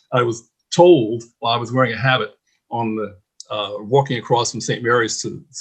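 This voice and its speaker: Against a quiet background, a somewhat breathy man at medium pitch speaks at a moderate pace with ordinary pitch variation. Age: 70s. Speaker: former seminarian. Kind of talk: testimony.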